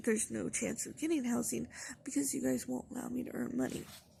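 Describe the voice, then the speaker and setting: A woman talks in a soft-spoken way. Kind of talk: casual talk to camera. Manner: quiet, soft-spoken.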